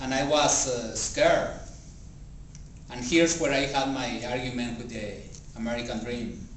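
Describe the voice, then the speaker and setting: A man with a Spanish accent speaks at a moderate pace and medium pitch with fairly even intonation, taking long, frequent pauses. Room echo is audible and background noise is noticeable. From Mexico. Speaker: public speaking club member. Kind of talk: speech.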